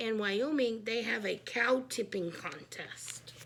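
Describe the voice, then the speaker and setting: Putting on a character voice, a woman speaks raspy and enthusiastic at a fairly slow pace and fairly high pitch over clear background noise. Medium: read story. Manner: earnest, enthusiastic.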